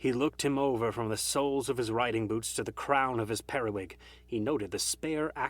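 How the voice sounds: A natural reading voice carries the clip.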